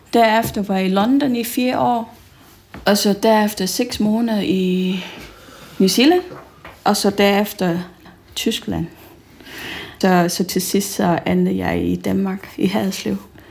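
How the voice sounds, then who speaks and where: Pausing long and often, a woman talks very slowly with a non-native accent. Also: medium pitch for a woman, ordinary pitch variation. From Malaysia. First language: not Danish (speaking Danish). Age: 40s. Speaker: school teacher. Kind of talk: interview.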